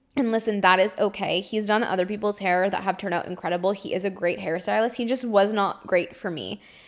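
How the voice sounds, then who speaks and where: A woman at medium pitch talks in an animated tone at a very fast pace. She leaves hardly any pauses. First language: French. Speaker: podcast host and psychic medium. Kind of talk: casual storytelling monologue. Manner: animated, laughs often.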